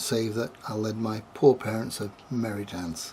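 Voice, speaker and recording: This man has a northern English accent and a medium pitch. His intonation stays fairly even. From northern England (Glossop, Derbyshire). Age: 60s. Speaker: storyteller giving a religious testimony. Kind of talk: testimony.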